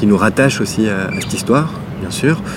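A man's fairly low voice, with audible room echo and noticeable background noise. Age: 30s. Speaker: visual artist. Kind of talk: interview. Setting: outdoors in a park. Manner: halting.

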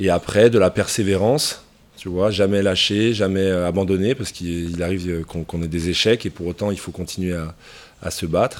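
This man's very deep, low voice keeps a fairly even intonation. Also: moderate pace. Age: 30s. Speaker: professional rugby player. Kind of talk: interview answers to school pupils.

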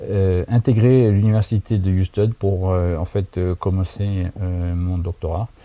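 A man speaks at a very slow pace with a fairly low pitch, a dark, mellow tone and ordinary pitch variation, in a dry, close sound with no echo. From France, Haute-Marne (Saint-Dizier). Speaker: NASA research scientist. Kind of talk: recorded interview answers. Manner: halting, many fillers.

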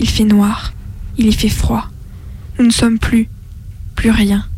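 A woman speaks very slowly in a monotone, flat intonation, her fairly high, somewhat breathy voice carrying a dark, mellow tone. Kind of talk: creepy recorded message from a distressed woman. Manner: eerie, hushed, trembling, haunted.

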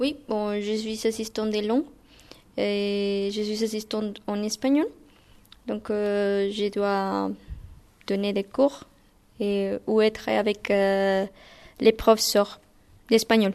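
The speech comes in a Spanish accent at a very slow pace. The intonation stays monotone and flat, broken by long, frequent pauses. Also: woman, medium pitch for a woman. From Guatemala. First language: Spanish (speaking French). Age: 20s. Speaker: language teaching assistant. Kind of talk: interview. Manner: halting.

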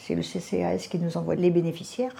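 This woman's voice sits fairly low, with a dark, mellow tone and some vocal fry. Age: 80s+. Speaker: charity volunteer. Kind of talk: interview testimony.

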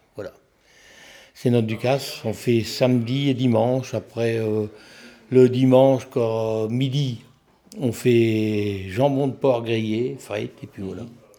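Speaking at a very slow pace with long, frequent pauses, a man uses medium pitch, fairly even intonation and a dark, mellow tone. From French Flanders, Nord. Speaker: deputy mayor. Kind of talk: interview.

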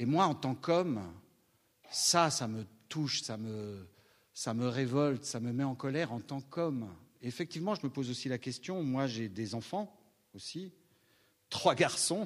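On a very clean recording with a silent background, a man with a medium pitch speaks at a fairly slow pace. His intonation is lively, and he takes long, frequent pauses. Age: 60s. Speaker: stage actor. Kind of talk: post-show audience discussion. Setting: theatre with audience.

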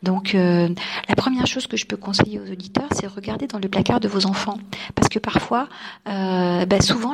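A woman talks at a fairly quick pace while noticeable background noise plays behind her. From France, Nice. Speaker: journalist and radio presenter. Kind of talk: radio interview.

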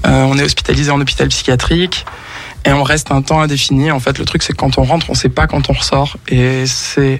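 Noticeable background noise sits behind this voice. The delivery is monotone and flat at a moderate pace. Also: man. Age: 30s. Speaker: musician. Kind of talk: radio interview. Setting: radio studio.

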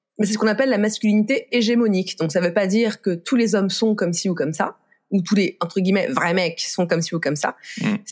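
Talking at a very fast pace, a woman keeps her loudness very even. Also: medium pitch for a woman, ordinary pitch variation. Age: 30s. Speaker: author of a book on food and sexism. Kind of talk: podcast interview. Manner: casual, with frequent filler hesitations.

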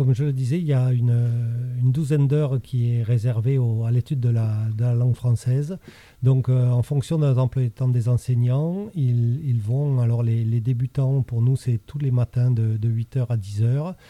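Fairly slow yet with hardly any pauses, a man's somewhat breathy, dark and mellow voice of medium pitch keeps fairly even intonation and very even loudness in a dry, close sound with no echo. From France, childhood in Chile and Morocco. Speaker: school principal. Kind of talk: interview. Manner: hesitant.

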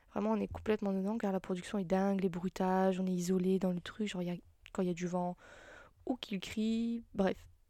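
At a fairly quick pace, a woman of medium pitch talks in a monotone, with flat intonation. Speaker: solo podcaster. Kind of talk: casual solo monologue. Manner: halting, many fillers.

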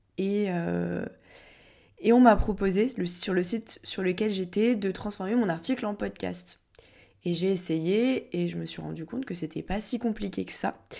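A woman's dark, mellow tone comes through at a fairly slow pace. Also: medium pitch for a woman, ordinary pitch variation. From southern France (Montpellier). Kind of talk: casual podcast monologue answering questions.

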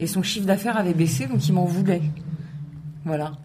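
A woman's voice carries audible room echo. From France, Aubervilliers (Paris suburbs). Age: 40s. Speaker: local government community officer. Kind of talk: radio interview.

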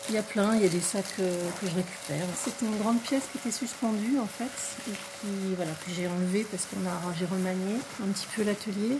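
A woman speaks at a fairly quick pace in a medium pitch. Her pitch varies in an ordinary way over noticeable background noise. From Paris, France. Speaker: textile and embroidery artist. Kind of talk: casual interview. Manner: halting.

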